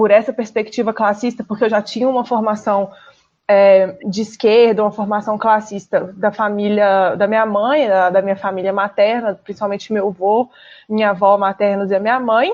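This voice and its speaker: With a Minas Gerais accent, a woman speaks at a moderate pace in a fairly high pitch and fairly even intonation. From Brazil, Minas Gerais. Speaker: political candidate, app driver. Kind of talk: radio interview.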